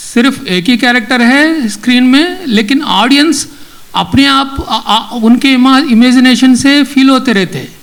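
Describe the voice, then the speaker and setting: A man with a non-native accent speaks at an extremely high pitch with ordinary variation, over noticeable background noise. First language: not Hindi (speaking Hindi). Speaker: film director. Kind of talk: acceptance speech. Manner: halting.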